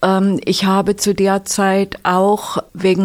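The woman's voice sits at a medium pitch. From Sachsen-Anhalt, eastern Germany (village). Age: 70s. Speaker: retired physician. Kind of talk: interview.

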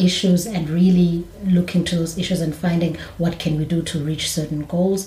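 A woman talks at a moderate pace in a fairly low pitch, her intonation monotone and flat. Noticeable background noise runs underneath. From South Africa. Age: 30s. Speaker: English teacher. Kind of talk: casual discussion.

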